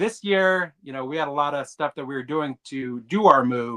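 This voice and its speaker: Over a quiet background, a man's bright, sharp tone carries lively intonation. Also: dry, close sound with no echo. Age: 30s. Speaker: bonsai hobbyist co-host. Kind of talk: casual chat. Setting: livestream from home basement.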